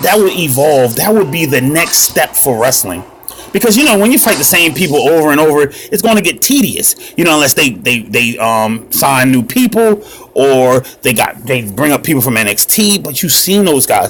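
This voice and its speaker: Over noticeable background noise, a man with a fairly high pitch speaks in an animated tone at a moderate pace, his pitch swinging very widely while his loudness stays very even. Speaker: mobile gaming youtuber. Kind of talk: casual gameplay commentary.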